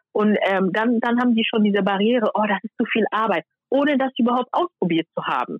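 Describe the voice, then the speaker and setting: In a plain, everyday voice, a woman speaks at a fairly high pitch and a fairly quick pace with ordinary pitch variation. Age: 20s. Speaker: YouTuber on hair care. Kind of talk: casual interview chat. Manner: many fillers.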